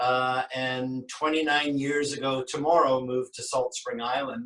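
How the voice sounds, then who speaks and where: In a western Canadian accent, a man speaks at a fairly slow pace with fairly even intonation. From western Canada, Vancouver. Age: 60s. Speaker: sculptor. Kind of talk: interview.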